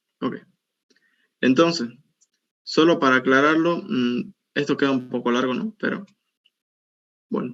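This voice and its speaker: Pitched fairly high, a man speaks at a fairly slow pace. His intonation is lively, broken by long, frequent pauses. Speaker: university teaching assistant. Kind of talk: tutorial.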